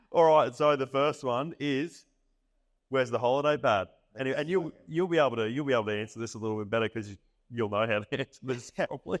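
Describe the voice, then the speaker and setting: A man speaks at a very fast pace in a medium pitch with ordinary pitch variation. The sound is dry and close with no echo, against a quiet background. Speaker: podcast host. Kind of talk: interview at a live event. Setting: live event with audience.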